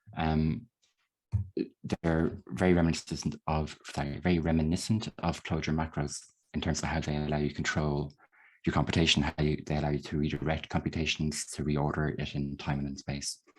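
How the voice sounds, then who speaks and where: A man's very deep, low voice in an Irish accent, monotone and flat, at a fairly quick pace against a quiet background. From Ireland. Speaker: software developer. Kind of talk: lecture. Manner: fast.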